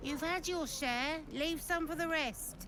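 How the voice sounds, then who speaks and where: A gruff, high-pitched put-on character voice moves at a fairly slow pace. Loud background noise fills the recording. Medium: video game. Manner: blunt, gruff.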